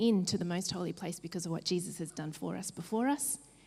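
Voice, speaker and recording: A somewhat breathy voice with a dark, mellow tone speaks at a fairly quick pace with ordinary pitch variation. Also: woman. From New Zealand. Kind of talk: keynote talk.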